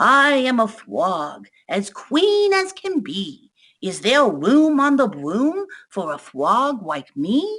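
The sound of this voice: A female-sounding voice puts on a croaky character voice at a high pitch. It moves at a very slow pace with very wide pitch swings.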